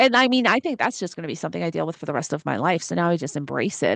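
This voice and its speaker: In a dry, close recording with no echo and a quiet background, a woman speaks in an animated tone. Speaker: astrologer. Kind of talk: casual astrology forecast monologue. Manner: fast.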